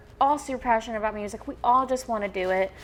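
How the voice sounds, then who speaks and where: In a Southern US accent, a woman speaks at a fairly quick pace with an upbeat tone. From Alabama. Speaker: singer-songwriter. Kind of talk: interview answer. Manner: upbeat, chatty.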